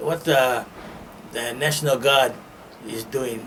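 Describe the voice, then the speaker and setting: Over noticeable background noise, a man with a Hawaiian accent speaks at medium pitch with fairly even intonation. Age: 80s+. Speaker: World War II era Pearl Harbor worker. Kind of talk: interview answer, personal memories.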